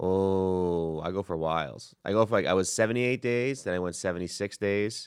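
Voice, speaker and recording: In a strong New York accent, a man with a very deep, low pitch talks at a moderate pace with ordinary pitch variation and hardly any pauses, in a very clean recording with a silent background. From New York City. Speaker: stand-up comedian. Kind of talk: casual chat. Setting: studio.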